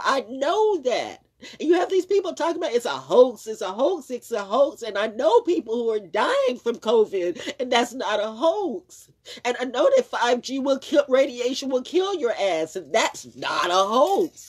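A woman's pitch swings very widely as she talks at a moderate pace over a quiet background. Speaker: vlogger. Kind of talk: casual vlog chat, opinion rant. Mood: indignant, emphatic. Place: home room. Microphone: phone near.

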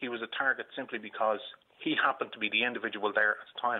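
A man with a Dublin accent speaks against a quiet background. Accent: Dublin Irish. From Ireland. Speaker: caller, uncle of a shooting victim. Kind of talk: radio phone-in. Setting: phone call from hospital. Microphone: phone line.

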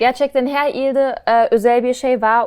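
Recorded very cleanly against a silent background, a woman speaks at a high pitch with a German accent. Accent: German-accented Turkish. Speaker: travel content creator. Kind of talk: casual interview chat. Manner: animated, laughs often.

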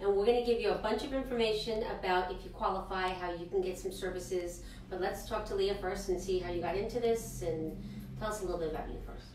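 A woman at a very fast pace with fairly even intonation, audible room echo and light background noise. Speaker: health clinic show co-host. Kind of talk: interview. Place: studio. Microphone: camera far.

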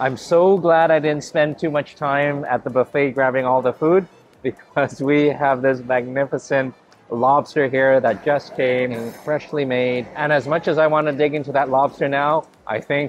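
Music plays in the background. A man speaks with fairly even intonation. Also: moderate pace. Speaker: food travel vlogger. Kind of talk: casual vlog chat. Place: hall. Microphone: lapel.

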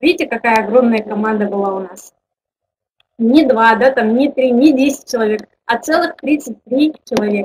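A woman talks at a moderate pace with ordinary pitch variation. Noticeable background noise is present. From Kazakhstan. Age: 20s. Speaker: network marketing director; webinar presenter. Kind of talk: online webinar presentation. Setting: webinar with online audience. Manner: informal, hesitant, with fillers. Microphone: webcam.

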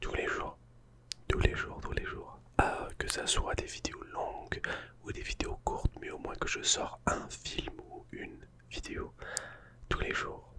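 Whispering and soft-spoken, a man talks at a very slow pace with long, frequent pauses. Noticeable background noise is present. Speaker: ASMR YouTuber. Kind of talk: casual vlog chat. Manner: soft ASMR whisper close to mic. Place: home room. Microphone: studio mic.

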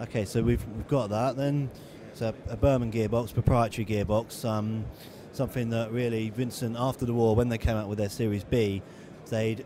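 Over noticeable background noise, a man with a fairly low pitch talks at a fairly quick pace with fairly even intonation, the sound dry with no echo. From England. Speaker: motorcycle magazine editor. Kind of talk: casual informative talk about a motorcycle at a show. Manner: conversational, hesitant with frequent fillers. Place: hall.

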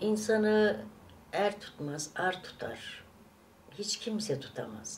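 With light background noise behind her, a woman at medium pitch speaks at a very slow pace with vocal fry and ordinary pitch variation. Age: 60s. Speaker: vlogger. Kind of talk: casual chat. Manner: animated; hesitant fillers. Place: home room. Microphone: camera far.

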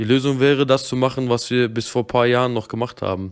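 The speech comes at a very fast pace. The background is quiet. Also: man. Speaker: streamer. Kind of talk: angry rant, live-stream reaction. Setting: live stream. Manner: agitated, swearing, ranting. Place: home room. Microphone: studio mic.

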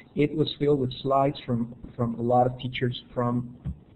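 A man speaks fairly slowly with a Spanish accent, somewhat breathy and with monotone, flat intonation. Light background noise is present. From Honduras. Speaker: educator. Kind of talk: webinar presentation; webinar presentation talk. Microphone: video call.

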